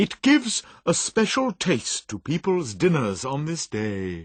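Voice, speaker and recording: In a put-on character voice, a man speaks slowly with a cheerful tone, a fairly high pitch and very wide pitch swings over a quiet background. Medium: read story. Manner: cheerful, hearty.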